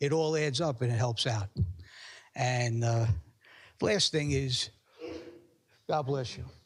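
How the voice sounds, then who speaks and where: At a very slow pace, a man speaks somewhat breathily at medium pitch with ordinary pitch variation and long, frequent pauses. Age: 60s. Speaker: public commenter at council meeting. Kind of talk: public comment at town council meeting. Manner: halting, many repetitions and fillers.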